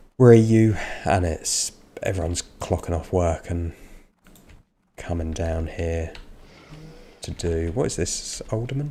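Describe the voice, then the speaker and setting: A man with an English accent speaks at a fairly slow pace in a very deep, low pitch, his dark, mellow tone somewhat breathy, with ordinary pitch variation and long, frequent pauses. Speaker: gaming streamer. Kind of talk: live gameplay stream commentary. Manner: casual, hesitant with fillers.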